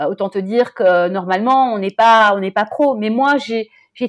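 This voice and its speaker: With lively intonation and a fairly high pitch, a woman talks at a moderate pace in a dry, close sound with no echo. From Brussels, Belgium. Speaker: journalist and coach. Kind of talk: interview. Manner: animated.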